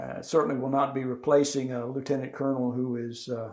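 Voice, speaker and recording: A man speaks with monotone, flat intonation. Audible room echo surrounds his voice. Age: 60s. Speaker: retired army officer. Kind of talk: oral history interview. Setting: interviewee's home. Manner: halting.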